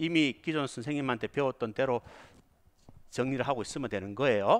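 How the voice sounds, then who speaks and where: Here a man speaks with lively intonation. The sound is dry and close, with no echo. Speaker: police exam lecturer. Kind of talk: lecture. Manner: not fast, measured pace.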